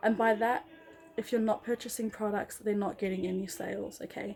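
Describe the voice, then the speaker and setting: Speaking at a moderate pace, a woman talks in an Australian accent. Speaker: vlogger, former MLM member. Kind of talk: casual vlog monologue. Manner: animated.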